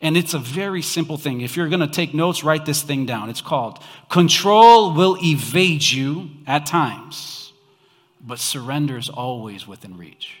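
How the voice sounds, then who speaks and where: An unremarkable speaking voice at a moderate pace, with lively intonation and big swings in loudness. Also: man, fairly high pitch for a man. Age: 30s. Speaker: pastor. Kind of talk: Christmas sermon to a church congregation, conversational and call-and-response. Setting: church with live audience.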